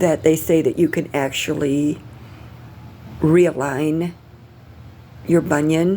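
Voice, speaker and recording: A woman speaks with a dark, mellow tone at a fairly low pitch. Her intonation stays fairly even. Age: 60s. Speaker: vlogger documenting pre-surgery. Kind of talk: casual video diary. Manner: halting, many fillers.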